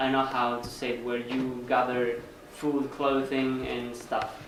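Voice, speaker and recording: A man with a Spanish accent at a medium pitch, amid noticeable background noise and audible room echo. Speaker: volunteer organizer. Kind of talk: presentation Q&A. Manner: halting.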